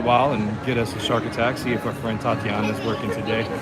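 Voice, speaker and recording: A man talking very fast with an American accent, with audible room echo and music in the background. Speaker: live-stream vlogger. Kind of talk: live stream walking tour. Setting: outdoors at a theme park. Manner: casual, rambling.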